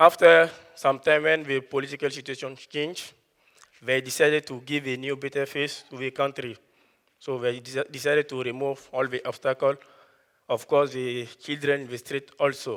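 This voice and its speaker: This man has a fairly high pitch. His intonation is monotone and flat. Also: moderate pace. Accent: West African. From Ivory Coast. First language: Dioula. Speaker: student speaker. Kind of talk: prepared talk.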